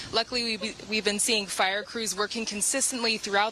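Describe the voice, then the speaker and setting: Noticeable background noise accompanies a woman speaking in a fairly high pitch. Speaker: broadcast journalist. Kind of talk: TV news reporting.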